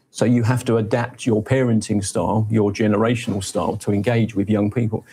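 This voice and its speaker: A man talks at a fairly quick pace in a fairly low pitch, his dark, mellow tone somewhat breathy, his intonation monotone and flat and his loudness very even. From Nigeria. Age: 60s. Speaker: media executive. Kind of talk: TV interview.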